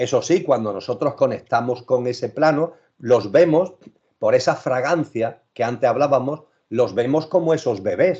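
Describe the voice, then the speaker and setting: A man speaks at a moderate pace with fairly high pitch and ordinary pitch variation. His tone is dark and mellow. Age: 60s. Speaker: spiritual speaker. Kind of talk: interview talk.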